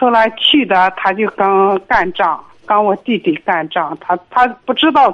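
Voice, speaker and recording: A woman's medium-pitched voice at a fairly slow pace, with lively intonation. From Inner Mongolia, Linhe. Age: 60s. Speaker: caller. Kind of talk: phone call-in. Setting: phone call. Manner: halting.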